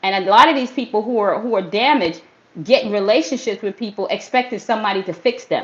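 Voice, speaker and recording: A woman talks at a very fast pace and fairly high pitch, with ordinary pitch variation. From US Northeast, Brooklyn, New York. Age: 50s. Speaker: fitness trainer. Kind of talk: motivational livestream talk. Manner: animated; casual street slang.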